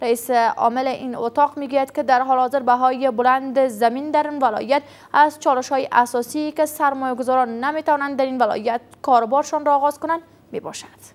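High in pitch, a woman speaks with fairly even intonation and few pauses.

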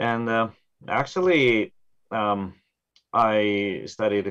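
Over a quiet background, the speaker talks with a Japanese accent. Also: man. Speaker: Zen Buddhist priest. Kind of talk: presentation and panel discussion. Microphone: video call.

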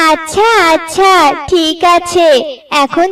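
This cartoonish character voice is female-sounding and extremely high in pitch. It moves at a very slow pace.

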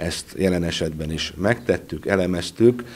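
Speaking at a fairly slow pace, this man has a very deep, low pitch. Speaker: prosecutor. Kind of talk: news interview. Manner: formal. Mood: serious, formal. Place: office. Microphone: handheld.

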